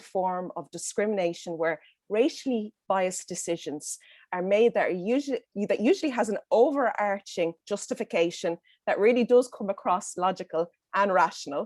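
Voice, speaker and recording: With a Dublin accent, a woman speaks at a moderate pace and medium pitch with lively intonation, the sound dry and close with no echo and a quiet background. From Ireland, Dublin. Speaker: panelist. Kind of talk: roundtable discussion. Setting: video call. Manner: halting, many fillers.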